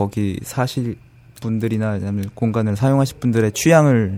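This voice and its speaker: A dark, mellow tone carries fairly even intonation. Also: man. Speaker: interior designer. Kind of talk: casual interview.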